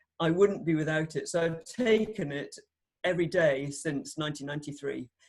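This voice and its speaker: In a British accent, a woman speaks with a very deep, low pitch and ordinary pitch variation. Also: moderate pace. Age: 60s. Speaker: doctor. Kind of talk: testimony. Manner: animated.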